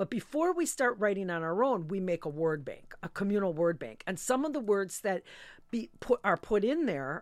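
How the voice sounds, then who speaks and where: A woman with a plain, everyday voice at medium pitch and moderate pace, on a very clean recording with a silent background. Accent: American. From Milwaukee, Wisconsin (US Midwest). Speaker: poet and professor. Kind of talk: interview. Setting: studio.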